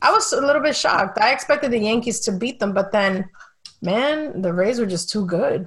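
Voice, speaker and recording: A woman talks at a fairly quick pace with lively intonation and a fairly high pitch. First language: Spanish. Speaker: sports writer and podcast host. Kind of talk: casual chat.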